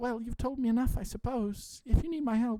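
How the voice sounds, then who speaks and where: A woman does a high-pitched, put-on character voice. She talks at a fairly quick pace with fairly even intonation. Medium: read story. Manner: hesitant, stammering.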